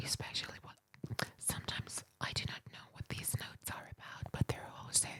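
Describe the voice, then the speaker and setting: Someone whispers at a moderate pace. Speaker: ASMR creator. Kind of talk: ASMR book reading. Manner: whispered.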